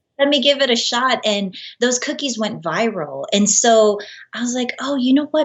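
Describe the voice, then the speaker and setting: A woman with an American accent against noticeable background noise. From Los Angeles, US. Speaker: baker and cookie artist. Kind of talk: interview.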